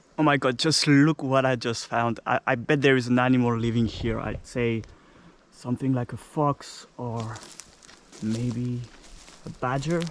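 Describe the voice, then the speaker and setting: With long, frequent pauses, a man talks at medium pitch and a fairly slow pace, his intonation fairly even. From France (Normandy). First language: French. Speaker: travel vlogger. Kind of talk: casual vlog narration. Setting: outdoors. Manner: halting.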